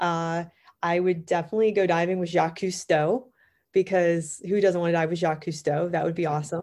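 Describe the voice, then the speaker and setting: A woman with an American accent, fairly low in pitch and fairly even in intonation, at a fairly quick pace against a quiet background. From US, Pittsburgh, Pennsylvania. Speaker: underwater photographer and technical diver. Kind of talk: interview.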